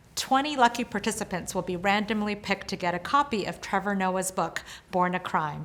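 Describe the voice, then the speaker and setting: Sounding enthusiastic, a woman with a medium pitch speaks at a fairly quick pace with ordinary pitch variation. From US, Washington State (immigrated from Korea at four). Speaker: event host, company founder. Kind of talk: scripted event hosting. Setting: outdoors at different locations, recorded video.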